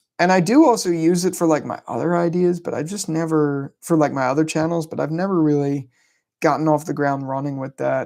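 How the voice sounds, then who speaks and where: On a very clean recording with a silent background, a man with a fairly high voice talks at a fairly quick pace with ordinary pitch variation. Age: 20s. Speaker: YouTuber, film and TV commentator. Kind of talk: live stream Q&A, casual chat. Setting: live stream from home. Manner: casual, hesitant with many fillers.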